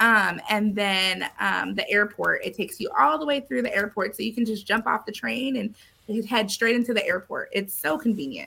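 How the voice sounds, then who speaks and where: A woman speaks with a Californian accent. She leaves hardly any pauses. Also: moderate pace. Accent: Californian American. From Southern California, San Diego. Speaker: realtor. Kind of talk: casual interview chat.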